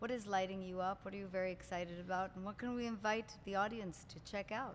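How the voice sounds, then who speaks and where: A woman with an Israeli accent and medium pitch talks at a very fast pace. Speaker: coach and podcast host. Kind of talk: interview. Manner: animated.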